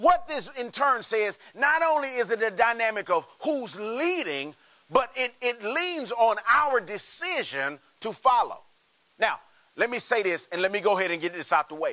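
A man's extremely high, raised and projected voice at a moderate pace, with very wide pitch swings against a quiet background. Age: 30s. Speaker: pastor. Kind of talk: sermon.

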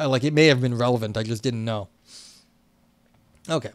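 With an American accent, a man talks at a medium pitch with ordinary pitch variation. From New York. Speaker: philosophy streamer. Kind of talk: live stream reading and commentary on a philosophy paper. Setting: live stream. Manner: casual, conversational.

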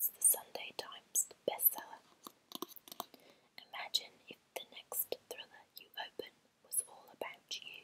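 A woman's soft-spoken whisper at a fairly slow pace, with long, frequent pauses and light background noise. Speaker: ASMR creator. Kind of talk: soft ASMR haul chat. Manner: soft whisper reading blurb aloud. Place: home room. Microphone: earbuds.

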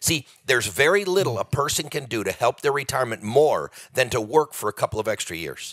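A man's very fast, fairly high voice with vocal fry and lively intonation, in a dry, close sound with no echo. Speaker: economist, author and speaker. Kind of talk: podcast interview.

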